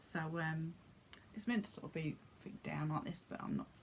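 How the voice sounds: A woman talks at a moderate pace with a low pitch. Her voice has vocal fry and ordinary pitch variation.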